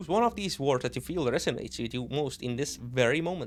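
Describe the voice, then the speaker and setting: Speaking at a very fast pace, a man with a non-native accent uses lively intonation. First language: not English. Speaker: streamer. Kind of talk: gaming commentary. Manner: halting.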